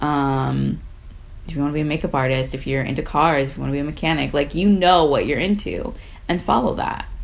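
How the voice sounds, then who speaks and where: A woman's very deep, low voice at a fairly quick pace, with ordinary pitch variation, audible room echo and noticeable background noise. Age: 30s. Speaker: podcast co-host. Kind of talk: casual chat.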